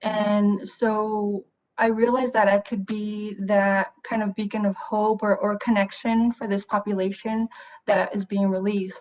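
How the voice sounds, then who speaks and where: A woman with a Spanish accent, fairly high in pitch, fairly slow and monotone in a flat intonation. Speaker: therapist. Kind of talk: interview. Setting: video call.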